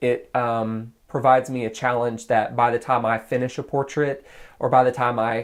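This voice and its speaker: On a very clean recording with a silent background, a man with an American accent speaks at a medium pitch and a fairly slow pace. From US South, Nashville suburbs, Tennessee. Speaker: graphic artist. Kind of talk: interview.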